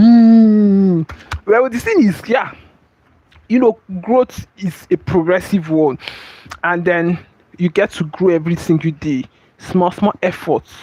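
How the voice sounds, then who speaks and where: At a very slow pace with long, frequent pauses, a man with a high pitch and ordinary pitch variation speaks in a dry, close sound with no echo. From Nigeria. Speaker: streamer and motivational teacher. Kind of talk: livestream motivational talk.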